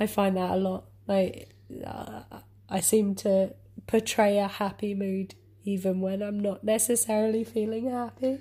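A woman with an English accent speaks at a fairly slow pace, her voice somewhat breathy. Her dark, mellow tone stays in monotone, flat intonation. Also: medium pitch for a woman. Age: 20s. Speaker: podcast co-host. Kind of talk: casual chat.

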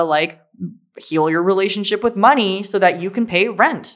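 In an unremarkable speaking voice, a woman talks with a medium pitch and pitch that varies in an ordinary way. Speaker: podcast co-host, spiritual teacher.

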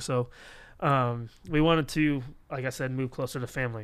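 In an American accent, a man talks with an ordinary speaking voice and fairly even intonation on a very clean recording with a silent background. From Florida. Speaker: youth pastor, podcast host. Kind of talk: casual chat.

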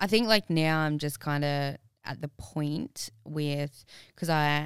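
A very deep, low-pitched woman in an Australian accent at a very slow pace, on a very clean recording with a silent background. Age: 20s. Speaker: personal trainer and fitness competitor. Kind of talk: casual chat.

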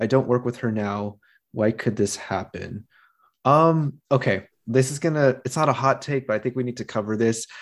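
This man has an unremarkable speaking voice, medium in pitch with ordinary pitch variation, and talks at a moderate pace. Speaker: podcast host. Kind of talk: casual chat.

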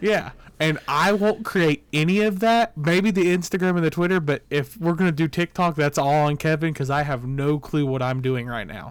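With hardly any pauses, a man talks at a moderate pace in a fairly high pitch, using a plain, everyday voice. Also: ordinary pitch variation. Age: 20s. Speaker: podcast co-host. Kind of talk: casual chat.

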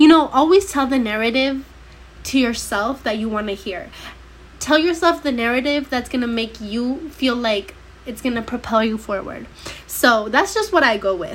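Animated and with lively intonation, a woman speaks at a high pitch and a moderate pace over noticeable background noise. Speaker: podcast host. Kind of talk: casual monologue.

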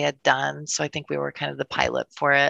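Recorded with a dry, close sound and no echo, a woman speaks with an American accent. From Wisconsin. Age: 30s. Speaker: insurance agency owner. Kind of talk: casual interview chat.

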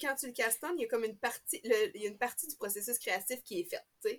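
With a Quebec accent, a woman talks at a fairly high pitch and with ordinary pitch variation. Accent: Québécois French. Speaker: knitting podcaster. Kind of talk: casual chat.

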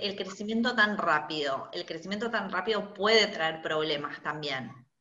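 In a Rioplatense accent, a woman speaks at a fairly slow pace with very wide pitch swings, with audible room echo. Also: hardly any pauses. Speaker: podcast host, fashion designer. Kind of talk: interview.

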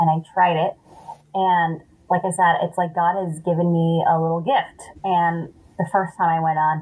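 Her voice is somewhat breathy and fairly low for a woman. She talks at a moderate pace. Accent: American. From Los Angeles, San Fernando Valley. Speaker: stand-up comedian. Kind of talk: casual chat.

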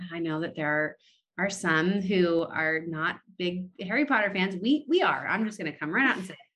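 With an American accent and an ordinary speaking voice, a woman speaks at a moderate pace and medium pitch, using lively intonation. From California, US. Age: 30s. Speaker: pastor. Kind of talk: casual interview conversation.

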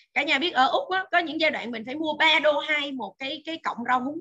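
A woman with a high pitch and a bright, sharp tone speaks in a raised, projected voice at a fairly quick pace with lively intonation. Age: 40s. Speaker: nutrition expert. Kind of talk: lecture. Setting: video call.

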